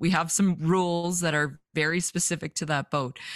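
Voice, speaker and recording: On a very clean recording with a silent background and a dry, close sound with no echo, a woman in a Western Canadian accent speaks at a very deep, low pitch in a monotone, flat intonation. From Vancouver, British Columbia, Canada. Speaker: fishing photographer. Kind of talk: casual interview.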